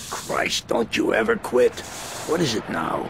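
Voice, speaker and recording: A man does a gruff, put-on character voice at a fairly slow pace. Clear background noise runs underneath. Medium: video game. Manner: gruff, curt, hostile.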